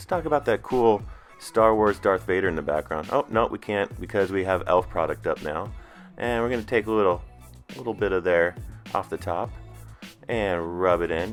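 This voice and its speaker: Over music in the background, a man with a very deep, low pitch talks at a fairly quick pace, with ordinary pitch variation and long, frequent pauses. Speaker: husband of the channel owner, narrating her makeup routine. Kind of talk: humorous improvised voiceover commentary. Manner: joking, teasing, casual.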